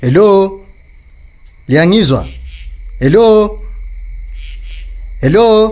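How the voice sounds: In a put-on character voice, a man talks at a very slow pace with high pitch, lively intonation and a slightly mellow tone.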